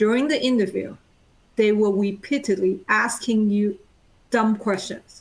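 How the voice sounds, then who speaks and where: Somewhat breathy and fairly high-pitched, a woman speaks at a fairly slow pace with very even loudness and fairly even intonation. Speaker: project manager. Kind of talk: panel discussion. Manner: talkative.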